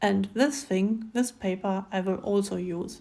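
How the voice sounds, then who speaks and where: A woman speaks at a fairly slow pace with a German accent. Her voice is medium-pitched, with a dark, mellow tone. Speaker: craft video creator. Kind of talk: tutorial. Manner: halting with many fillers.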